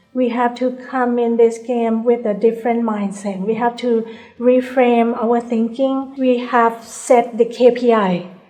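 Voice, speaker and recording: Soft-spoken and monotone, a woman talks in a fairly high pitch at a fairly slow pace with hardly any pauses, against noticeable background noise. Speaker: bank CEO. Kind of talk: interview answer.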